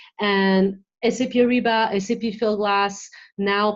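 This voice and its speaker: A woman's medium-pitched voice in a French accent, with fairly even intonation. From France, west coast. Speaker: marketing executive. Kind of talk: interview.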